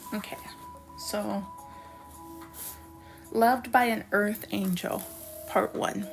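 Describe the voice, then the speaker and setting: Over music in the background, a woman speaks very slowly, with long, frequent pauses. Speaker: poet. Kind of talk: poetry reading.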